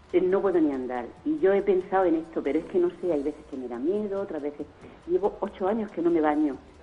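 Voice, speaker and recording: A woman's fairly low voice, very fast and with lively intonation, over noticeable background noise. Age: 60s. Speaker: caller. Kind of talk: call-in question. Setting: phone call. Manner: halting.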